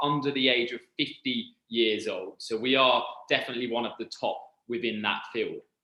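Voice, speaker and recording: Lively intonation marks this man's speech in a British accent. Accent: very British. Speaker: university recruitment representative. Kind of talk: presentation. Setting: online presentation.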